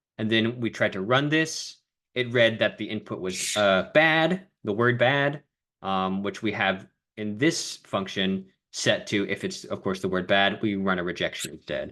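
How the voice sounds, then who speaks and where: A man has an ordinary speaking voice with a fairly low pitch and lively intonation. He speaks at a fairly slow pace against a quiet background. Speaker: coding mentor. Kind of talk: online coding lesson.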